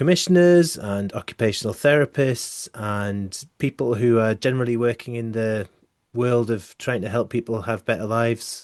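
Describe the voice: A man's pitch sits fairly low and moves by a normal amount as he talks at a fairly slow pace.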